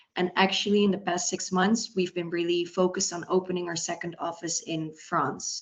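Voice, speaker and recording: With a Dutch accent and a fairly low pitch, a woman speaks at a moderate pace in a monotone, flat way with hardly any pauses. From Netherlands. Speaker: recruitment consultant. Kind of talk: webinar panel talk.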